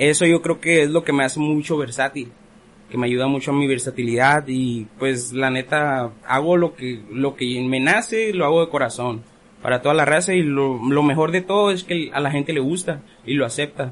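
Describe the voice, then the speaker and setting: With a normal speaking voice, a man talks at a moderate pace, his fairly high pitch showing ordinary variation. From Ensenada, Baja California, Mexico. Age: 20s. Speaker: rapper. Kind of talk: casual chat. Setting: studio.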